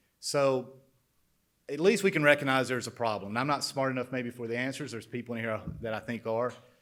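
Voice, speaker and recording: A man with an Alabama accent at a very fast pace and medium pitch, in a very clean recording with a silent background. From central Alabama, Shelby County. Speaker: former Air Force pilot, manufacturing businessman. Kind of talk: introductory speech. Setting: conference stage with audience.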